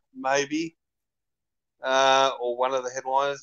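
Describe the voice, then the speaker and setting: Against a quiet background, a man with an Australian accent speaks at a very slow pace. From Melbourne, Australia. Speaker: metal podcast co-host. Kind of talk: casual chat. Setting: live stream video call. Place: home room. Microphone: video call.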